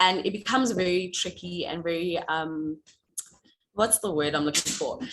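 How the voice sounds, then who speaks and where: Fairly low in pitch, a woman speaks at a moderate pace. Her pitch varies in an ordinary way. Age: 20s. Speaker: new club member, corporate trainee. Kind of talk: self-introduction. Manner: hesitant with fillers.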